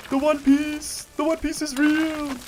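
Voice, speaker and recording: A man speaks with music playing in the background. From South Africa. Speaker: video game streamer. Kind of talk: live game stream commentary. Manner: casual, chatty.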